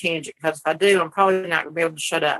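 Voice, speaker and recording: A woman's bright, sharp tone in a Southern US accent. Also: dry, close sound with no echo. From US South. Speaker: cannabis advocate. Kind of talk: casual chat. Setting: porch.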